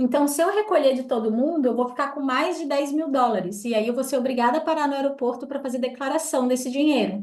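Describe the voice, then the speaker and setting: With audible room echo, a woman speaks at a fairly quick pace in a high pitch, her pitch varying in an ordinary way. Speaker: tour group leader. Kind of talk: briefing for travel group.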